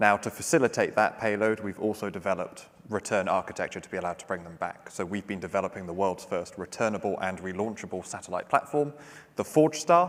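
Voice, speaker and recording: Talking at a very fast pace, a man with a fairly low pitch shows lively intonation and big swings in loudness. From UK. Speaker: startup CEO. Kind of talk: panel discussion.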